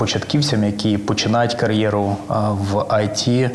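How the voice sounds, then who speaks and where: Through noticeable background noise and audible room echo, a man speaks fairly slowly in a fairly low voice with fairly even intonation. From Ukraine, Volyn region village near Kovel. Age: 40s. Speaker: finance executive. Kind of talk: interview.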